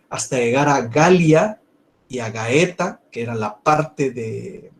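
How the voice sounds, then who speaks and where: Speaking very slowly at a fairly high pitch, a man sounds somewhat breathy, with big swings in loudness. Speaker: university law professor. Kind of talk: lecture.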